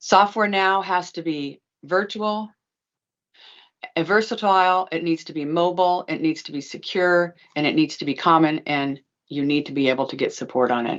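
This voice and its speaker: A woman with an unremarkable speaking voice, fairly low in pitch, at a moderate pace, with big swings in loudness. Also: ordinary pitch variation. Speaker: legal practice management consultant. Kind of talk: presentation.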